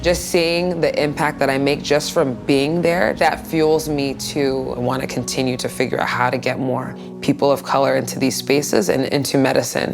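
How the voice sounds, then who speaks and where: With music playing in the background, a woman talks at a moderate pace with hardly any pauses. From Los Angeles, California. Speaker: physician, internal medicine resident. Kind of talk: interview answer.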